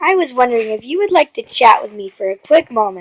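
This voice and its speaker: A woman uses a put-on character voice with a high pitch. She talks at a very fast pace. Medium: read story. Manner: ominous.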